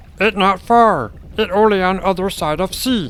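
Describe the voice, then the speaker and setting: A man's put-on character voice, high-pitched for a man, at a moderate pace. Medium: audio drama. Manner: broken grammar, talks of self in third person.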